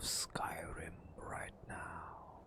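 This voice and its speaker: Extremely slowly, a man delivers his words in a whisper. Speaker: ASMR artist. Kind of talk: ASMR gameplay narration. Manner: soft-spoken, whispered.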